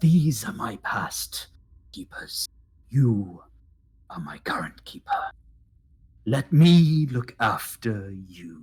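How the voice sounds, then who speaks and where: Speaking very slowly, a man puts on a character voice. His pitch is medium for a man. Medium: actual play.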